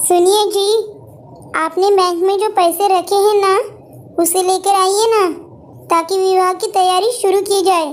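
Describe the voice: A cartoonish character voice, female-sounding and extremely high-pitched, moves at a fairly slow pace. Long, frequent pauses break it up over light background noise.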